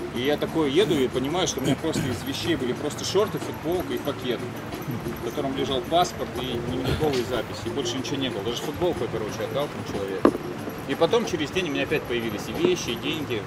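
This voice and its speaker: A man speaks at a very fast pace with music in the background. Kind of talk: casual group storytelling. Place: cafe. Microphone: lapel.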